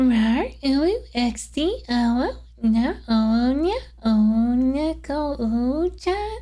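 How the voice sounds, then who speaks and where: In a put-on character voice at a fairly high pitch, the speaker goes at a very slow pace. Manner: cutesy, embarrassing to perform.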